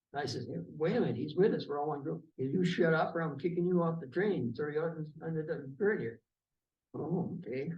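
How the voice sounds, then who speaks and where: A man with a fairly high pitch and ordinary pitch variation speaks fairly quickly amid audible room echo. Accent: Upper Midwest. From Wisconsin. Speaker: war veteran. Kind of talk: oral history interview. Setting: veterans' hall.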